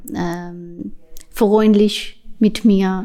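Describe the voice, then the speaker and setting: A woman speaks with a non-native accent at a very slow pace. Her medium-pitched voice has a dark, mellow tone and fairly even intonation. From Pakistan. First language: not German (speaking German). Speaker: basketball player and youth coach. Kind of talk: interview. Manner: halting.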